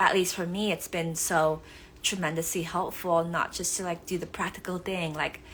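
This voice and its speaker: In a Vietnamese accent, a woman talks at a fairly low pitch. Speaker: author. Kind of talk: live stream talk. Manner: hesitant with many fillers.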